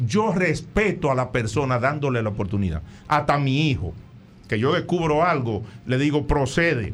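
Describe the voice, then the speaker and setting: Fairly high-pitched with vocal fry, a man talks at a moderate pace with very wide pitch swings and very even loudness. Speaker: psychologist. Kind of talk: radio talk show advice segment.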